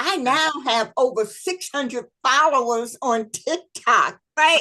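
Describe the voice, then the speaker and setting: Using a raised, projected voice, a woman speaks very slowly in a high pitch and a bright, sharp tone with ordinary pitch variation. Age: 60s. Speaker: historian and speaker. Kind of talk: interview chat.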